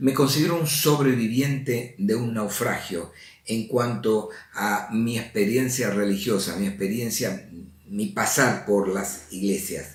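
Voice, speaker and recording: Very slow, somewhat breathy speech with ordinary pitch variation and audible room echo. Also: man, medium pitch for a man. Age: 70s. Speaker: lay preacher. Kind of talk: religious talk.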